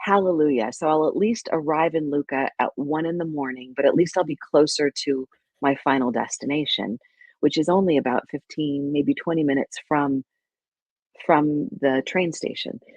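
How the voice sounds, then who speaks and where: A woman speaks at a moderate pace with a very deep, low pitch. Her pitch varies in an ordinary way. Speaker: podcast co-host. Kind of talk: casual chat, storytelling. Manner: animated.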